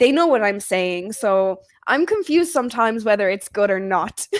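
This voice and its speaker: Fairly high in pitch, a woman speaks with an Irish Midlands accent. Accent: Irish Midlands, flat. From Ireland, Offaly (Midlands). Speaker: English tutor. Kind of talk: casual chat. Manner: slow.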